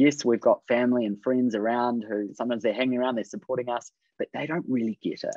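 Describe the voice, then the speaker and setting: A man speaks very fast in a New Zealand accent. The sound is dry with no echo, and the background is quiet. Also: medium pitch for a man. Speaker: creative business coach. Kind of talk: webinar presentation. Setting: video call. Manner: upbeat. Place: home room. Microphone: video call.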